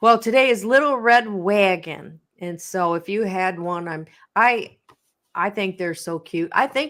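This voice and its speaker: At a fairly slow pace, a woman speaks in a plain, everyday voice at medium pitch. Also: ordinary pitch variation, big swings in loudness. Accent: American. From Michigan, US Midwest. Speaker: talk show co-host. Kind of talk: casual chat.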